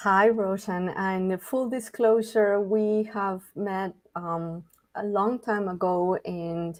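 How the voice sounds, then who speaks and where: With a Spanish accent, a woman speaks at medium pitch in a dark, mellow tone with monotone, flat intonation. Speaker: podcast co-host. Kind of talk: interview. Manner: slow.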